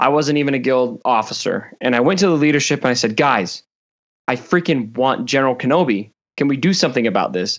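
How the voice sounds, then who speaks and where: A man talks fairly quickly at a medium pitch with ordinary pitch variation. His loudness stays very even against a quiet background. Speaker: gaming content creator. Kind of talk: casual chat. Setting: video call.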